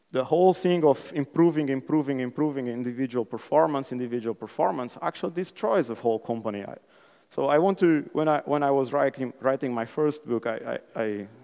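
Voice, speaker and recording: A man with a Portuguese accent speaks fairly quickly at medium pitch, his tone dark and mellow with ordinary pitch variation. The recording is very clean, with a silent background. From Portugal. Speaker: conference speaker. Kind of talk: conference talk. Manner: animated.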